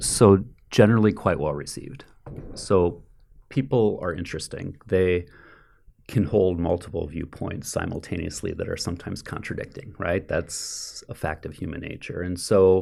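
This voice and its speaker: A man speaks at a moderate pace in a very deep, low voice with a dark, mellow tone. His loudness swings widely. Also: ordinary pitch variation. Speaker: economics professor. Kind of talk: interview. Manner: dispassionate, even.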